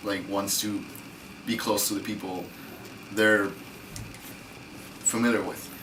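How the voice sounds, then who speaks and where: A man with a fairly low pitch speaks in a monotone, flat intonation, leaving long, frequent pauses. Room echo is audible. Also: fairly slow pace. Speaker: university student. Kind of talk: casual discussion.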